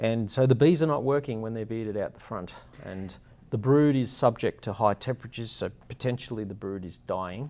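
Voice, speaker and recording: A man with an Australian accent talks at a fairly quick pace in a medium pitch. His loudness swings widely while his pitch varies in an ordinary way. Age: 50s. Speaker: beehive company founder. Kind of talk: interview. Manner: halting.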